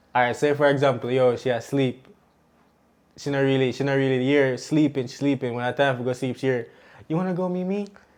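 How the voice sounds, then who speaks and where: Against a quiet background, a man with a Jamaican accent talks at a very fast pace in a medium pitch with fairly even intonation. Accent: Jamaican, speaks patois. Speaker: podcast co-host and young parent. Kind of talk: casual chat.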